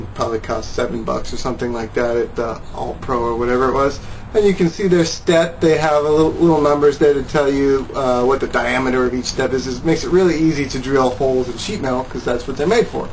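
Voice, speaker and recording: A man talks at a very fast pace with hardly any pauses. His pitch variation is ordinary, with light background noise. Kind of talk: tutorial. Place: garage. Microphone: camera far.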